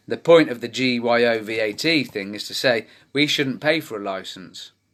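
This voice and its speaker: This is a man's voice. He has a British accent. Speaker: campaign group founder. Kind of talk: live video update to community. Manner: fast.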